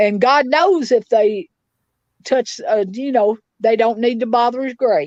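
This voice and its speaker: Speaking fairly slowly with a Tennessee accent, a woman uses a high pitch and lively intonation, the sound dry and close with no echo. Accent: Southern US (Tennessee). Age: 60s. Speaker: victim's mother. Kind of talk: interview. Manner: animated.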